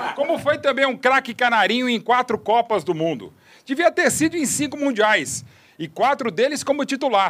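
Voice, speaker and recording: A man talks with an extremely high pitch. His intonation is lively. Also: moderate pace. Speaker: sports journalist. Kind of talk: tribute speech; casual chat.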